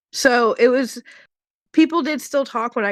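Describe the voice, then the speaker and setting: Her intonation is lively as this woman speaks at a fairly slow pace. The sound is dry and close with no echo, over a quiet background. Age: 20s. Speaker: stay-at-home mother. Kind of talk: casual chat. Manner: halting.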